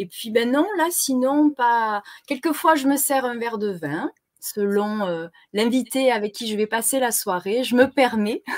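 With a Marseille accent, the voice moves at a fairly slow pace with lively intonation on a very clean recording, dry and close with no echo and a silent background. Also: woman, fairly high pitch for a woman. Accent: Marseille accent, southern. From southern France, Marseille. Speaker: web TV co-host. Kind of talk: casual chat. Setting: live stream.

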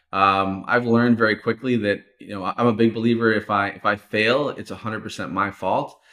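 A man talks at a fairly quick pace with hardly any pauses, in an unremarkable speaking voice. His pitch is fairly low, his intonation fairly even, and his loudness swings widely. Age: 30s. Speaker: online course entrepreneur. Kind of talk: interview.

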